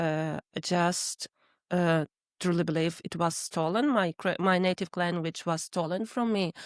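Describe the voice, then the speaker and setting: In a Russian accent, the speaker uses ordinary pitch variation on a very clean recording with a silent background. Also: woman, fairly low pitch for a woman, fairly slow pace. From Ukraine (Crimea, later western Ukraine). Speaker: Ukrainian refugee. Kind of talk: interview. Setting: garden shed studio. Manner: halting, many fillers.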